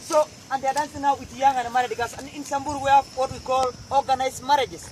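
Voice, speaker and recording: A man's extremely high-pitched, very fast speech in a Kenyan accent, with noticeable background noise. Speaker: Samburu warrior. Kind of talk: oral storytelling to visitors.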